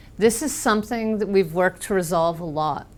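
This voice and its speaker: A woman with an American accent talks at a moderate pace. Her medium pitch shows ordinary pitch variation. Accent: very American. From US Northeast, Boston. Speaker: software trainer. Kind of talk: technical presentation.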